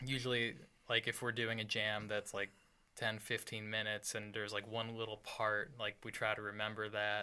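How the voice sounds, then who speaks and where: A man speaks in an American accent with a bright, sharp tone. His pitch sits fairly low. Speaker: rock band guitarist and singer. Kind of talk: casual chat. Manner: quiet, soft-spoken.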